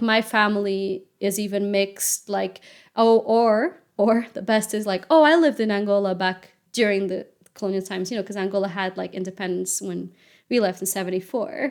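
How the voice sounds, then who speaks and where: With a Portuguese accent and ordinary pitch variation, the voice comes through a very clean recording with a silent background. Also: woman, medium pitch for a woman, moderate pace. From Portugal. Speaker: interviewee sharing personal experience. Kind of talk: personal testimony.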